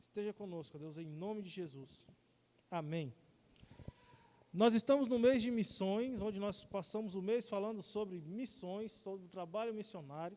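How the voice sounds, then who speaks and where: A man's high voice with a dark, mellow tone, ordinary pitch variation, big swings in loudness, and long, frequent pauses. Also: moderate pace. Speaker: lay preacher. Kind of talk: sermon. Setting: church service, also streamed online.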